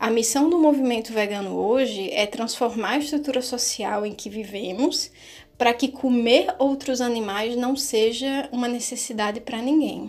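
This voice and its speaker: A woman speaks at a moderate pace in a high voice, her pitch rising and falling in an ordinary way. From Brazil, Natal (Rio Grande do Norte). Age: 30s. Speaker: activist and vegan cook. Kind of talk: casual panel discussion.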